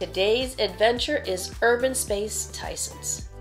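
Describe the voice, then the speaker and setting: Clear music in the background accompanies a woman speaking at a fairly slow pace. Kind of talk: promotional vlog presentation. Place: home room.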